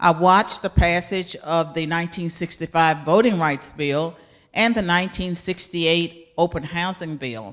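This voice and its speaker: A woman with an American accent speaks in an ordinary speaking voice, fairly low-pitched, at a moderate pace with ordinary pitch variation, on a very clean recording with a silent background. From US South, rural. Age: 60s. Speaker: professor. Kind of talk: interview.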